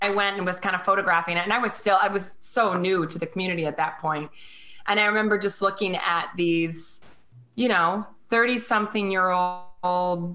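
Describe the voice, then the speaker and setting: The woman's tone is bright and sharp. Her intonation stays fairly even. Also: medium pitch for a woman, moderate pace. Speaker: blogger and author, parent of a child with Down syndrome. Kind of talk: casual interview chat.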